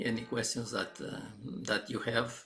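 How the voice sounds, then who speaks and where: A man's voice is heard with audible room echo. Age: 70s. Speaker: organizational constellations trainer. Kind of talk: live stream presentation. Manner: halting, many fillers.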